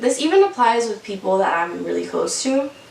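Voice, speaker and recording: A woman talks at a fairly quick speed, and noticeable background noise can be heard behind her. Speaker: vlogger. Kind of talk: testimony. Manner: casual.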